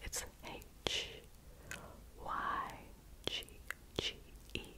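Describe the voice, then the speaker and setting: This is a woman. She is whispering. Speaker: ASMR creator. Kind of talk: ASMR video. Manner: whispered. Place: home room. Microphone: studio mic.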